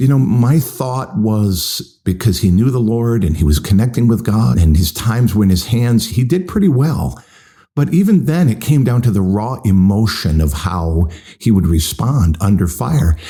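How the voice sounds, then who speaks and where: The man's voice is fairly low, dark and mellow, somewhat breathy, with very wide pitch swings, very even loudness and a moderate pace. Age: 60s. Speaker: pastor. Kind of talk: podcast sermon. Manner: conversational.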